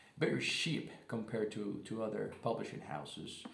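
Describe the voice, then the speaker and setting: Audible room echo surrounds a man speaking at a fairly slow pace. His pitch swings very widely. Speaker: booktuber. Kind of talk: casual book review vlog. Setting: living room at home. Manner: halting, many fillers and restarts.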